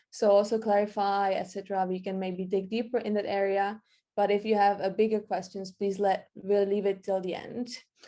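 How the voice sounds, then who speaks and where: A woman with a non-native accent speaks at a medium pitch in a dark, mellow tone. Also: quiet background. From Czech Republic. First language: Czech. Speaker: marketing workshop presenter. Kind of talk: online workshop presentation. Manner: halting, with repetitions.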